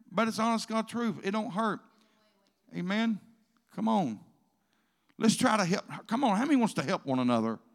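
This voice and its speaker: A man's high voice in a Southern US accent, lively in intonation, at a moderate pace with long, frequent pauses, in a very clean recording with a silent background. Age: old. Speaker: pastor. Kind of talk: sermon. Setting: church.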